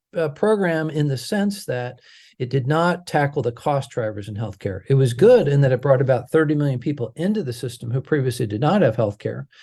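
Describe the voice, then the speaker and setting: A man's medium-pitched, somewhat breathy voice with a dark, mellow tone and an American accent, at a fairly quick pace with lively intonation, over a quiet background. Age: 60s. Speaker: healthcare advocate. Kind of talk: interview. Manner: halting, many fillers.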